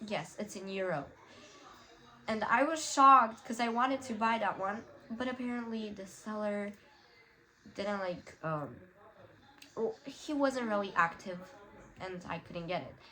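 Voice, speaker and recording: A woman with a Romanian accent and fairly high pitch speaks at a fairly slow pace with long, frequent pauses. Her intonation is lively over noticeable background noise. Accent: Romanian-tinged English. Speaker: YouTuber. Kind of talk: tutorial. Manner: casual, many fillers.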